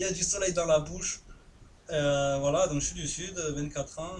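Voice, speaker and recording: Audible room echo and noticeable background noise around a man talking at a moderate pace. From southern France. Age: 20s. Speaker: gaming youtuber. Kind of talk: live gameplay commentary. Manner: casual, hesitant with many fillers.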